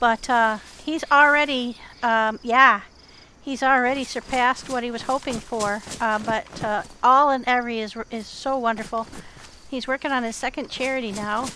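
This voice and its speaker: Her pitch is high and her intonation fairly even. The woman keeps a moderate pace. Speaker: gaming streamer. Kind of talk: live gameplay commentary. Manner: quieter when sneaking in game.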